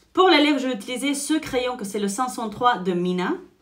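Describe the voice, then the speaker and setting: A woman talks with lively intonation and an animated tone. Audible echo fills the room. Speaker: beauty vlogger and salon owner. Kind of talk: makeup tutorial with personal chat.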